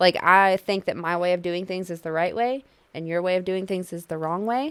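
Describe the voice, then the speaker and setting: A woman with an unremarkable speaking voice, medium pitch and ordinary pitch variation, at a moderate pace, on a very clean recording with a silent background. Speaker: married couple podcast co-host. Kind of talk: casual chat.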